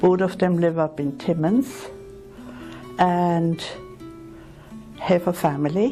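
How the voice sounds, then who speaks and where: A woman speaks very slowly with an Austrian accent and lively intonation. Her pitch is fairly low, and music plays in the background. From Vienna, Austria. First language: German. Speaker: retired nurse. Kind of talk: interview answer.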